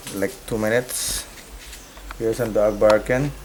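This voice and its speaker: Against noticeable background noise, a man speaks with a fairly low pitch. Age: 40s. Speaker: businessman, crime victim. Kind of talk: news interview testimony.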